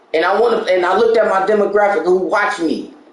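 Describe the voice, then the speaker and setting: Fairly quick speech amid noticeable background noise and audible room echo. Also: man. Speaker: gaming channel host and discussion host. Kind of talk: casual chat. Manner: animated; loud.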